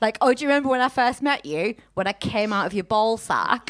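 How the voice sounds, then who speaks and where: A woman's fairly high voice comes through on a very clean recording against a silent background. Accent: Teesside. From Teesside, north-east England. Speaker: podcast host. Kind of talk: casual chat. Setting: stage with audience.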